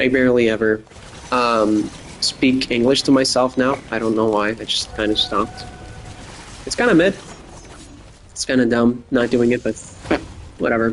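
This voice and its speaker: Amid noticeable background noise, a speaker with an American accent talks at a moderate pace with fairly even intonation and long, frequent pauses. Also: man, medium pitch for a man. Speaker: gaming podcaster. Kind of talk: casual monologue. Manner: rambling, filler-heavy.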